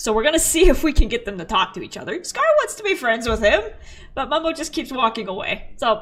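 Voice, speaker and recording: A woman's high-pitched, animated voice with very wide pitch swings at a fairly quick pace over noticeable background noise. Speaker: gaming streamer. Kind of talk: live stream chat.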